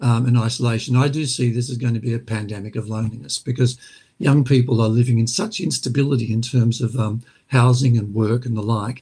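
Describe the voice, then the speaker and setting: With an Australian accent, a man talks at a medium pitch. His voice is somewhat breathy and his pace fairly quick. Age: 60s. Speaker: former mental health commissioner, lawyer. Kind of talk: webinar panel talk. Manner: halting, many fillers.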